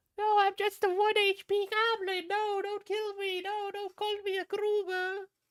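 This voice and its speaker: Putting on a character voice, a woman speaks at an extremely high pitch in a monotone, flat way, with hardly any pauses. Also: moderate pace. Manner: pitiful, weak, pleading.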